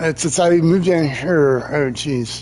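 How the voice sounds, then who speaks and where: A man talks with an American accent while noticeable background noise carries on. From Maryland, US Mid-Atlantic. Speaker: gaming streamer. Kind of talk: casual chat. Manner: halting, many fillers and repetitions.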